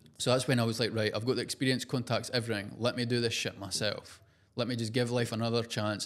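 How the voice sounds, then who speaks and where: A man talks very fast at a medium pitch in a strong Scottish accent. The recording is very clean, with a silent background. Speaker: entrepreneur and social media personality. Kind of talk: podcast interview. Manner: casual, animated.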